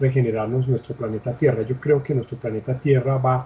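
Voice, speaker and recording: A man's dark, mellow, somewhat breathy voice at medium pitch with fairly even intonation. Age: 60s. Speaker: interviewee, education expert. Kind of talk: interview. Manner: halting, with fillers.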